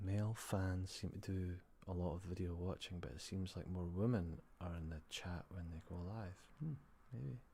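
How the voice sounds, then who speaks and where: At a moderate pace, a man speaks in a very deep, low voice with a dark, mellow tone, a somewhat breathy quality and ordinary pitch variation. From Scotland. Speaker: ASMR livestreamer. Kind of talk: live stream chat with viewers. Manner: soft-spoken; tired-sounding.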